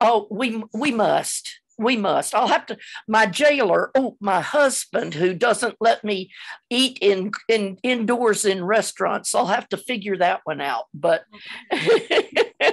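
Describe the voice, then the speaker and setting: At a very slow pace, a woman speaks with lively intonation and fairly high pitch. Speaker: cellist. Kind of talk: casual chat. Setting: video call. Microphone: video call.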